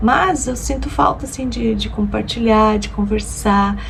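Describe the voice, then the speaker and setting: A woman speaks at a moderate pace. The room echo is audible, and there is noticeable background noise. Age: 50s. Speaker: lifestyle vlogger. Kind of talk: casual vlog talk to camera.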